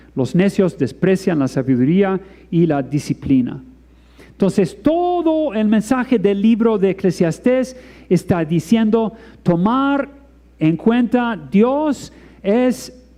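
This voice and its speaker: Speaking very slowly with very even loudness, a man uses a high pitch, very wide pitch swings and a non-native accent. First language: not Spanish (speaking Spanish). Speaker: preacher. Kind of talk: sermon. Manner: halting.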